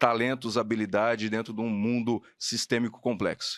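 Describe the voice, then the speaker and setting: A man with an ordinary speaking voice at a medium pitch and moderate pace, in a very clean recording with a silent background. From Paraná, Brazil (Maringá). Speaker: podcast host, HR educator. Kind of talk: podcast interview.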